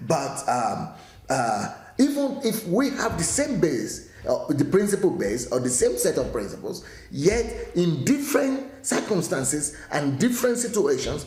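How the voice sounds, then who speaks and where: A man at a fairly slow pace, with noticeable background noise and audible room echo. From Nigeria. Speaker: pastor. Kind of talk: daily teaching talk. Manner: hesitant, with frequent fillers and restarts.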